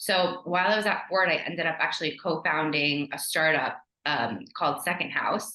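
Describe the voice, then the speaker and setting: A woman with a New York accent at a moderate pace. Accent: American (New York). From New York (immigrated from Ukraine at age 3). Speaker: brand strategist. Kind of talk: podcast interview. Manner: casual, animated.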